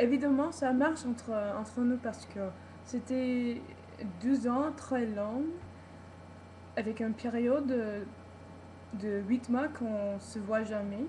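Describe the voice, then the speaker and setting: A woman with an English accent and a high pitch speaks at a very slow pace with long, frequent pauses and fairly even intonation, against noticeable background noise. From United States. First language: English (speaking French). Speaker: vlogger. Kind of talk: personal video vlog. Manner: halting, many repetitions and hesitations.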